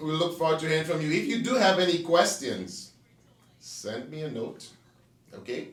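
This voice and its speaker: A man with a French accent and a high pitch talks at a moderate pace with ordinary pitch variation and big swings in loudness, amid noticeable background noise and audible room echo. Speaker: real estate agent. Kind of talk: casual interview chat. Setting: studio.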